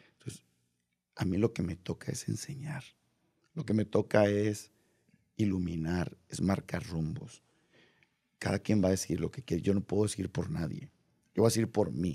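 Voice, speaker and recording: Over a quiet background, a man with a fairly low, dark and mellow voice speaks at a moderate pace with lively intonation and long, frequent pauses. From Mexico. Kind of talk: casual interview. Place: studio. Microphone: studio mic.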